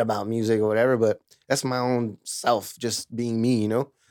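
A plain, everyday voice with an American accent speaks at a moderate pace with fairly even intonation, on a very clean recording with a silent background. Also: man. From California Central Valley, Lemoore. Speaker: musician and audio engineer. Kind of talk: casual chat.

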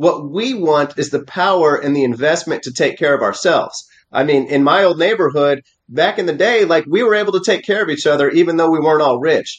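A man with an American accent speaks in a normal speaking voice at a fairly quick pace, with ordinary pitch variation. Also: fairly high pitch for a man. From Missouri. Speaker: Senate candidate, former Marine and attorney. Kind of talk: interview.

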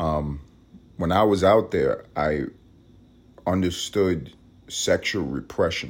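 This man has a very deep, low pitch with vocal fry. He talks at a fairly slow pace with ordinary pitch variation. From New York. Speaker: podcast host. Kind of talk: casual monologue. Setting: at home, alone. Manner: medium volume, low-key.

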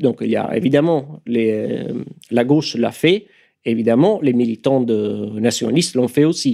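A man speaks with a strong Italian accent and lively intonation. His voice has a medium pitch and a dark, mellow tone. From Italy. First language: Italian (speaking French). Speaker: political activist. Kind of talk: radio interview. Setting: studio. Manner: hesitant, many fillers.

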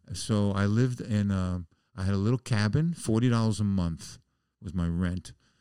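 A man with a New York accent, fairly low pitch, a dark, mellow tone, ordinary pitch variation and a moderate pace, on a very clean recording with a silent background. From New York City (the Bronx). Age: 70s. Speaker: musician. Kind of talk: casual chat. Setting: studio.

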